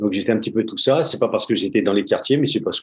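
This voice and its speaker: Ordinary pitch variation marks this man's voice. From France, Paris suburbs (Seine-Saint-Denis). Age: 60s. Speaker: former pro goalkeeper, football coach, mental coach. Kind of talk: podcast interview. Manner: hesitant, many fillers.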